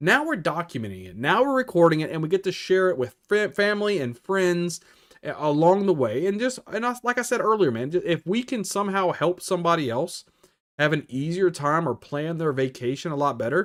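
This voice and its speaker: Loud and high-pitched, a man speaks at a fairly quick pace with very wide pitch swings on a very clean recording with a silent background. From Louisiana, New Orleans area. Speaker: YouTuber, Disney travel vlogger. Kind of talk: casual live stream chat. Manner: casual, off-the-cuff.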